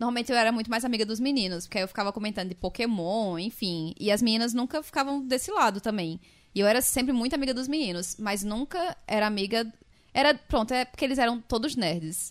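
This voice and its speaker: A woman talks at a very fast pace with lively intonation and a fairly high pitch in a very clean recording with a silent background. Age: 20s. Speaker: podcast co-host. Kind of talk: casual chat.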